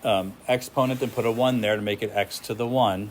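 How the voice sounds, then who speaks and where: An unremarkable speaking voice from a man, medium in pitch, with fairly even intonation and a moderate pace. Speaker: physics teacher. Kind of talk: classroom lecture.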